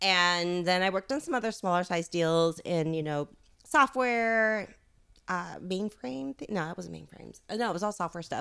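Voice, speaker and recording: With a Californian accent, a woman speaks at a moderate pace in a fairly low, bright, sharp voice with lively intonation, on a very clean recording with a silent background. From Los Angeles, San Fernando Valley. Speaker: startup founder. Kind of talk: casual interview. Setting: at her home.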